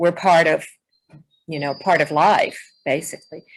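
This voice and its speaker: Speaking with a Southern US accent, a woman keeps a fairly low pitch, fairly even intonation and a moderate pace. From US South, Alabama. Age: 70s. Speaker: poet and activist. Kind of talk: interview.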